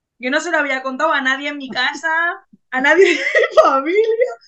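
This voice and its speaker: Very fast and raised, a woman's high-pitched, projected voice has a bright, sharp tone. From Bilbao, northern Spain. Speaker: pageant contestant and body-positivity advocate. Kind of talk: casual interview chat.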